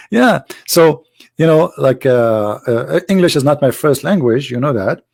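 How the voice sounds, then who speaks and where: Fairly high in pitch, a man talks at a fairly slow pace with lively intonation. He has an Arabic accent. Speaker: Islam critic, author and live show host. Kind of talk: casual live talk to viewers. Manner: hesitant with fillers.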